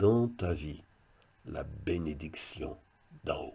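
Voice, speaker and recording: A man speaks in a dark, mellow tone that is somewhat breathy. The recording is very clean, with a silent background. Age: 60s. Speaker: pastor. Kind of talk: devotional video message.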